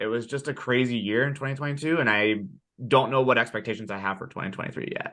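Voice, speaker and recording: A man speaks loudly in a bright, sharp tone. The background is quiet. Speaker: director of sales enablement, community co-founder. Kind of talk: podcast interview. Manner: loud and boisterous.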